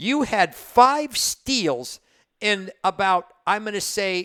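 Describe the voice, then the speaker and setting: On a very clean recording with a silent background and a dry, close sound with no echo, a man speaks in a raised, projected voice with a bright, sharp tone, high pitch and ordinary pitch variation. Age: 60s. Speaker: sports radio host. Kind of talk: interview. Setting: studio.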